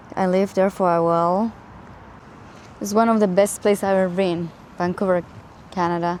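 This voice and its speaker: A woman speaks in a monotone, flat intonation at a fairly quick pace with a Spanish accent, broken by long, frequent pauses. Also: medium pitch for a woman. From Spain. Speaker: travel vlogger. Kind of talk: casual reflective vlog talk. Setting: outdoors in a park. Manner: halting, with fillers and restarts.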